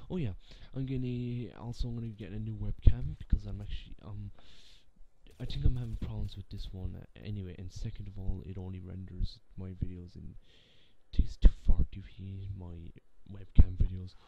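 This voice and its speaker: A man speaks at a moderate pace with a very deep, low pitch, lively intonation and a somewhat breathy voice, the sound dry with no echo over light background noise. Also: big swings in loudness. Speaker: gaming channel vlogger. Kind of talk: casual vlog chat. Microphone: webcam.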